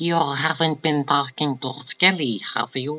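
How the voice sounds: The speaker uses a put-on character voice with a low-to-middle pitch. The pace is fairly slow.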